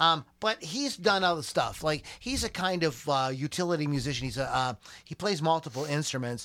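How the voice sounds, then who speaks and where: A man's animated, bright and sharp delivery at a moderate pace, with lively intonation, a fairly high pitch and a very clean recording over a silent background. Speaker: podcast host. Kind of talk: casual banter, irreverent podcast chat. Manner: joking, irreverent, animated.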